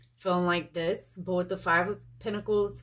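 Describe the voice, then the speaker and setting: A woman's fairly low voice with vocal fry. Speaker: tarot reader. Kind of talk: tarot reading commentary. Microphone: phone near.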